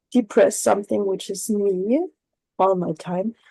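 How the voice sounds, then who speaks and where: A woman with a non-native accent speaks at a fairly slow pace in a medium pitch, her dark, mellow tone carrying ordinary pitch variation in a dry, close sound with no echo. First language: not English. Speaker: workshop participant. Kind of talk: group discussion. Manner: halting.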